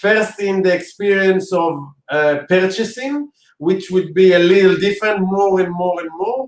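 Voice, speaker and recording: A man with an Israeli accent talks at a moderate pace in a high pitch, with ordinary pitch variation. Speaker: interviewer. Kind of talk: interview.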